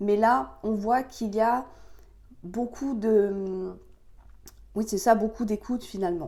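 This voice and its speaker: A woman speaks very slowly in a fairly high pitch, her tone dark and mellow. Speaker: tarot card reader. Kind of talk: tarot reading for viewers. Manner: hesitant, many fillers.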